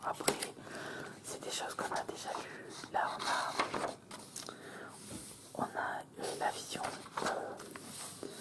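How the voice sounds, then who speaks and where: A very slow whisper comes through over noticeable noise in the background. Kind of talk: ASMR magazine presentation. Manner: whispered; slow, calm, hesitant.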